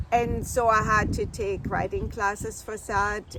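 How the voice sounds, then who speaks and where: Over noticeable background noise, a woman with a German accent speaks at a fairly slow pace. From Germany. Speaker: vlogger. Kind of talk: casual vlog monologue.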